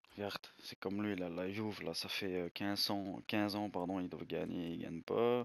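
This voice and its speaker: A man talks at a fairly slow pace in a fairly low pitch. His intonation is fairly even. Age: 20s. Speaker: gaming youtuber. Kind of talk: gameplay commentary video. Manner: hesitant, filler-heavy.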